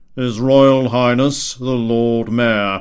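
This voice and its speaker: The speaker uses a put-on character voice. The delivery is monotone and flat. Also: man, medium pitch for a man. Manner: loud, announcing.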